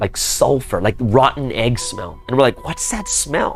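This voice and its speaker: Music plays in the background as a man speaks. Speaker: pastor. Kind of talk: storytelling. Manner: casual, filler-heavy.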